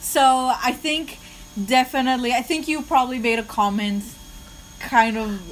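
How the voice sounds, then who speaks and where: Over noticeable background noise, the speaker talks at a moderate pace with a non-native accent, ordinary pitch variation and long, frequent pauses. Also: woman, high pitch for a woman. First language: not English. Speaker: podcast co-host. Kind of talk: casual chat. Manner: halting.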